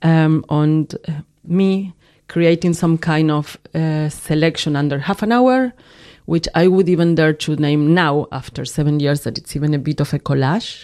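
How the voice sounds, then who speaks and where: A woman's very deep, low voice with a dark, mellow tone and a Spanish accent, at a moderate pace. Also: very clean recording, silent background. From Argentina. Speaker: film and video artist. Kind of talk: casual interview. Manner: halting.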